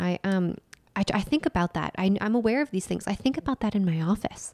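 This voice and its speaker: The speaker is soft-spoken and talks at a very fast pace with very wide pitch swings. The sound is dry and close, with no echo. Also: woman. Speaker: nutritional therapist and lifestyle coach podcast co-host. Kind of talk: casual chat.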